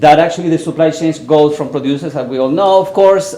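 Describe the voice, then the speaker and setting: A man with a Chilean accent at a very fast pace, ordinary pitch variation, noticeable background noise and audible room echo. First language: Spanish. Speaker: university professor, researcher. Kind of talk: conference presentation. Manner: some halting, repeated words.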